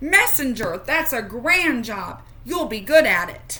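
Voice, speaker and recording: A put-on character voice is raised and projected, delivered at a fairly slow pace. Light background noise is present. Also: female-sounding voice, high pitch for a woman. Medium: read story.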